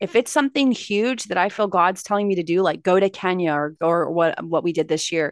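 Lively intonation and an animated tone mark this woman's Californian accent as she speaks at a moderate pace, the sound dry and close with no echo over a quiet background. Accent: General American (Californian). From Los Angeles, California. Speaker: motivational speaker and success coach. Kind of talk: casual interview chat. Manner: animated, laughs often.

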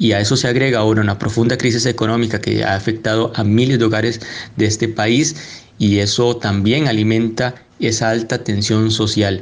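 At a fairly quick pace, a man with a medium pitch speaks in monotone, flat intonation with very even loudness. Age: young. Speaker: economist and parliamentary adviser. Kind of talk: panel debate.

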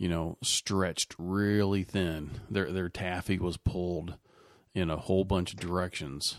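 A man's very deep, low voice with an American accent, very slow and fairly even in intonation, on a very clean recording with a silent background. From Kentucky, US. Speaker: podcast host. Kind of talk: casual chat about politics.

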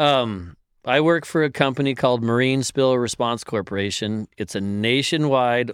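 A man talks at a fairly slow pace in an unremarkable speaking voice. His pitch is medium, with ordinary pitch variation. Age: 50s. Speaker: oil spill response worker. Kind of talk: casual chat.

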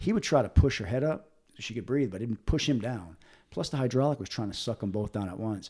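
On a very clean recording with a silent background, a man speaks at a fairly quick pace in a medium pitch with a dark, mellow tone and lively intonation. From Rhode Island, Providence. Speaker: retired firefighter. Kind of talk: casual interview storytelling. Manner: halting, repetitive restarts.

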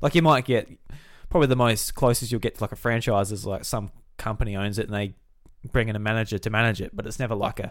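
In a very clean recording with a silent background, a man with an Australian accent talks very fast at a fairly low pitch, his intonation fairly even. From South Australia, Millicent. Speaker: podcast host. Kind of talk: casual chat.

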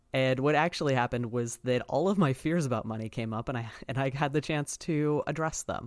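A man at medium pitch, fairly quick pace, hardly any pauses and ordinary pitch variation. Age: 30s. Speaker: podcast host and spiritual practitioner. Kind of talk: solo monologue podcast. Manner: animated.

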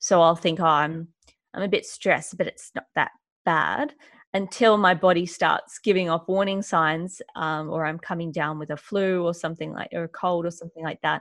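Speaking with an Australian accent, a woman keeps a moderate pace and fairly even intonation. Her pitch is fairly low, and the background is quiet. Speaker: author and mental health speaker. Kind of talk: interview conversation.

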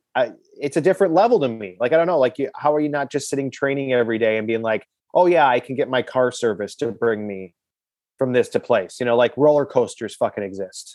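Using an unremarkable speaking voice, a man with an American accent talks at a fairly quick pace, with a medium pitch and ordinary pitch variation. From Milwaukee, Wisconsin. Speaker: comedian and sports fan guest. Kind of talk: casual interview.

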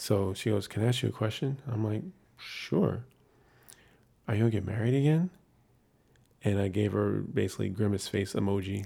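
In a very clean recording with a silent background, a man speaks at a fairly quick pace with a fairly low pitch, a somewhat breathy, dark, mellow tone, ordinary pitch variation and long, frequent pauses. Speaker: podcast co-host. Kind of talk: casual chat.

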